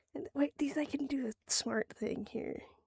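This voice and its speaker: A woman's voice with vocal fry. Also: dry, close sound with no echo. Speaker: art streamer. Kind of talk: casual livestream chat while drawing. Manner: loud; halting, self-interrupting.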